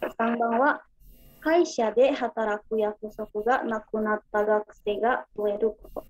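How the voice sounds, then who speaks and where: With an Indonesian accent, a woman speaks at a very slow pace and fairly high pitch, using ordinary pitch variation against a quiet background. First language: Indonesian (speaking Japanese). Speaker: student. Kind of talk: class presentation. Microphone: video call.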